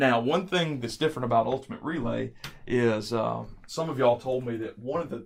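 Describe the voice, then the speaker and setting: Heard in a very clean recording with a silent background, a man of medium pitch uses an ordinary speaking voice at a moderate pace with ordinary pitch variation. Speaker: church youth event organizer. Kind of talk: training video instructions.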